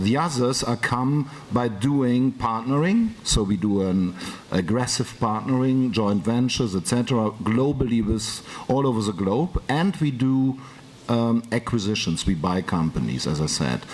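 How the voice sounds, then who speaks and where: Speaking in a German accent at a fairly slow pace, the voice has lively intonation against noticeable background noise. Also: man, medium pitch for a man, very even loudness. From Germany. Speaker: business executive. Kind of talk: panel talk. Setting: conference round table.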